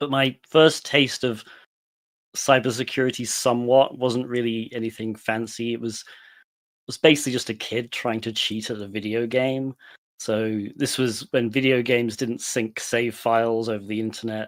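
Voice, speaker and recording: In a British accent, a man with a medium pitch speaks in a flat monotone at a moderate pace, on a very clean recording with a silent background. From UK. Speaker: penetration tester. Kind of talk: career story talk.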